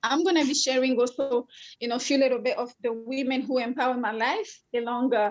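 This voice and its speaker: Her pitch is high and her pace fairly quick. The woman speaks with a French accent and fairly even intonation. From Congo. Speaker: life coach and co-host. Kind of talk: online conference talk.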